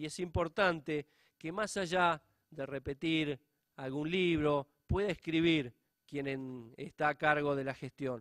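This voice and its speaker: A normal speaking voice moves at a fairly slow pace with ordinary pitch variation, recorded very cleanly against a silent background in a dry, close sound with no echo. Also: man, fairly high pitch for a man. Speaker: public auditor. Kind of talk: conference lecture.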